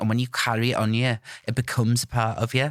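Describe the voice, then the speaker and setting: A man speaks at a medium pitch in a monotone, flat intonation. The recording is very clean with a silent background, and the sound is dry and close with no echo. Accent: North Welsh. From North Wales. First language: Welsh. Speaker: TikTok creator. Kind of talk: podcast interview.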